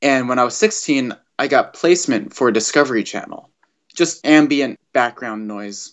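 A man with an American accent talks in a normal speaking voice at a medium pitch and moderate pace, his intonation lively. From US West Coast, Los Angeles. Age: 20s. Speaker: musician. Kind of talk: interview.

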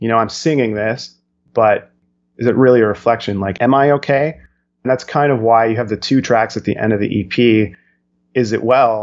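A man speaks at a moderate pace and medium pitch with fairly even intonation, in an ordinary speaking voice. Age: 30s. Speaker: rock band singer and songwriter. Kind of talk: interview.

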